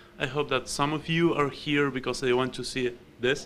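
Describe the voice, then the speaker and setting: The speaker is a man with an Argentine accent. His pitch varies in an ordinary way. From Argentina. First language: Spanish. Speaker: software developer and security researcher. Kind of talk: conference talk. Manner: hesitant, many fillers.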